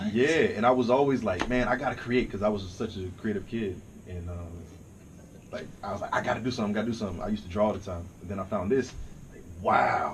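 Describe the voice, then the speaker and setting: Amid noticeable background noise and audible room echo, a man with a fairly low pitch talks at a very fast pace with ordinary pitch variation and big swings in loudness. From US South (Dallas, Texas; later Virginia). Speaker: rapper and songwriter. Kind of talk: casual chat.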